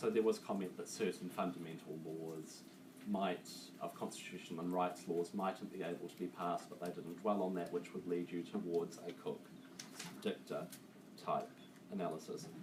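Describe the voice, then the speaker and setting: There is noticeable background noise and audible room echo as a man speaks with a New Zealand accent. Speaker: law student tutor. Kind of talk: lecture. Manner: fast.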